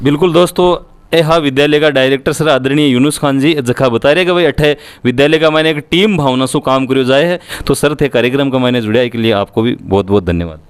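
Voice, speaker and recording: A man speaks in an ordinary speaking voice at a fairly high pitch. His pace is moderate, with ordinary pitch variation. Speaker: local news reporter. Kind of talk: interview.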